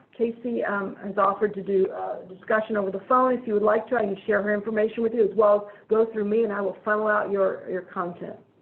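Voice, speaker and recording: Through noticeable background noise, a woman with a fairly high pitch speaks at a very fast pace in monotone, flat intonation. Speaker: webinar presenter on hospital sepsis care. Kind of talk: online presentation.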